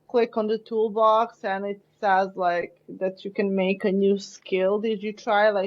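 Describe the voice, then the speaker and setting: The speaker talks at a fairly slow pace in a Serbian accent. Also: woman. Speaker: marketer and podcast co-host. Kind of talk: casual chat.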